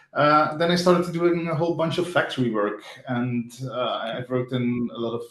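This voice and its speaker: Noticeable background noise accompanies a man with a Flemish accent who speaks at a fairly high pitch and a moderate pace. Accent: Belgian (Flemish) English. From Belgium. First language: not English. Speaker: front-end developer. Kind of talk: interview. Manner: casual, hesitant with fillers.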